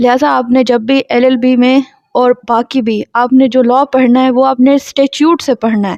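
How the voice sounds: Heard as a dry, close sound with no echo, a woman speaks at a high pitch with a slightly mellow tone, fairly even intonation and a moderate pace.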